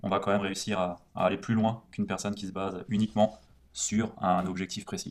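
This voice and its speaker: His pitch sits fairly low for a man. This male speaker delivers everything in a monotone, flat way. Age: 20s. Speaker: podcast co-host discussing non-fiction books. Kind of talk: casual chat.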